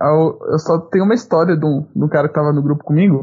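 The speaker is a man. His voice rises and falls in an ordinary way. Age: 20s. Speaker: podcast co-host, university student. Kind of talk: casual chat.

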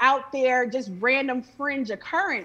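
A woman's raised, projected voice with an American accent, high pitch, a bright, sharp tone, an animated tone and a fairly slow pace. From Chicago. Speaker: movement journalist and retired attorney. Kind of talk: heated debate.

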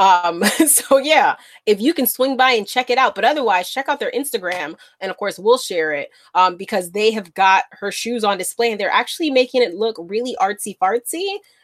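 Here a woman speaks in an unremarkable speaking voice at a moderate pace. Her fairly high voice has a dry, close sound with no echo. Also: lively intonation. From Bronx, New York. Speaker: podcast co-host. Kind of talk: casual chat.

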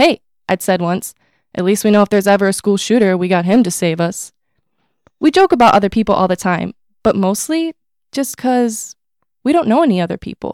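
At a fairly quick pace, a woman speaks at a medium pitch with lively intonation and long, frequent pauses. The very clean recording has a silent background and a dry, close sound with no echo. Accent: American. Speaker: college student author. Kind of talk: reading aloud.

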